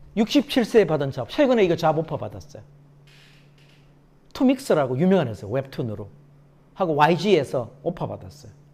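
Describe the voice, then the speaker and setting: A man with vocal fry and an animated tone talks at a fairly quick pace and fairly high pitch, with very wide pitch swings, big swings in loudness and long, frequent pauses. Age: 60s. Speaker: success coach and lecturer. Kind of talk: lecture.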